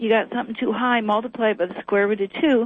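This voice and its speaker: An unremarkable speaking voice with an American accent. Pitch moves in an ordinary way, and the pace is fairly quick. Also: woman. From US Appalachia. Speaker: sound healing researcher. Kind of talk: interview.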